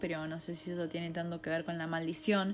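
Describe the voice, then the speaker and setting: Music plays in the background as the speaker talks at a fairly quick pace in an animated tone. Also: woman. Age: 20s. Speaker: podcast host, film critic. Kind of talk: podcast monologue. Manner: fast.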